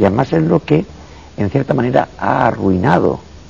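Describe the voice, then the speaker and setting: A man speaks at a moderate pace with a very deep, low pitch and very wide pitch swings. Noticeable background noise can be heard. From Andalusia, Spain (Cazorla, Jaén). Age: 50s. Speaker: psychiatrist and professor. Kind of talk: interview.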